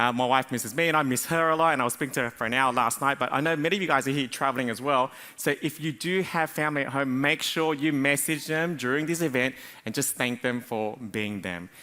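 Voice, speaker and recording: In an Australian accent, a man talks at a very fast pace with a bright, sharp tone. His pitch is medium, with ordinary variation. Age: 40s. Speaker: business coach. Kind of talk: conference talk. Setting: stage with audience.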